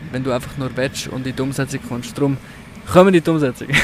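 A man speaks with fairly even intonation at a fairly high pitch. Noticeable background noise runs under the recording. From Switzerland, canton of Zug. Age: 20s. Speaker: podcaster. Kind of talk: casual chat. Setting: outdoors.

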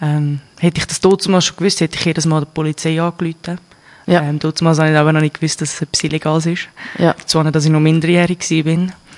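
In a Swiss accent, a woman speaks very fast in a very deep, low voice with monotone, flat intonation and a dry, close sound with no echo. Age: 20s. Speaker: interview guest sharing personal experience. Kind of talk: personal interview.

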